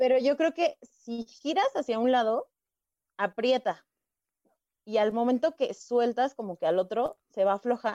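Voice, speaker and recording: At a fairly slow pace, a woman with a high pitch and a dark, mellow tone speaks with ordinary pitch variation in a dry, close sound with no echo. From Estado de México, Coacalco. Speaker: comedian. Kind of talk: casual chat.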